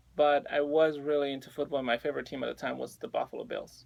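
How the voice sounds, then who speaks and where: A man with a Spanish accent speaks at a very fast pace. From Mexico City, Mexico. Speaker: personal trainer. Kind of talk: radio interview.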